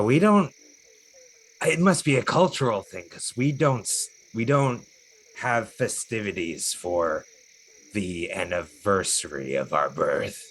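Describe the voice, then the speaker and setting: A man's put-on character voice at a medium pitch, fairly slow, with long, frequent pauses. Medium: actual play. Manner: formal, measured.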